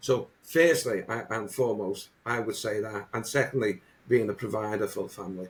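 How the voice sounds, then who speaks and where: Speaking at a moderate pace with a Liverpool accent, a man with a medium pitch sounds somewhat breathy and uses ordinary pitch variation. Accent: Liverpool (Scouse). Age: 60s. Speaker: motivational coach. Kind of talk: podcast interview. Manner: halting, many repetitions.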